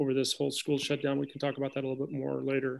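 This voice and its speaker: Someone speaks at a very fast pace over a quiet background. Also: man. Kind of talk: formal presentation to board. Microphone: video call.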